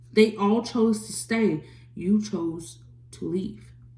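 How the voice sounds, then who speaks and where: A woman's medium-pitched voice with lively intonation, over noticeable background noise. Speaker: tarot reader. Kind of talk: tarot reading.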